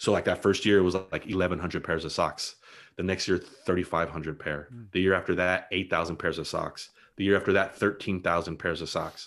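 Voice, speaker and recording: In a very clean recording with a silent background, a man with an American accent speaks at a moderate pace, his very deep, low pitch held in fairly even intonation. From Los Angeles County, California (La Puente/Bassett). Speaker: blogger and dad. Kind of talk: casual interview chat.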